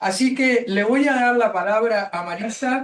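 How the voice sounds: Her pitch fairly high, a woman talks at a moderate pace with ordinary pitch variation.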